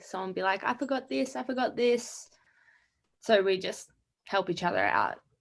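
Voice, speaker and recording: With an Australian accent, a woman speaks at a moderate pace and medium pitch. Her intonation is lively. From Australia, Melbourne. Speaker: college skier. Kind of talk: interview. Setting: video call.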